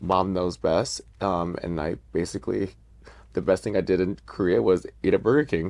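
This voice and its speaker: A man's very deep, low voice with vocal fry and lively intonation, at a moderate pace against a quiet background. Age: 30s. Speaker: drag queen. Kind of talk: casual chat.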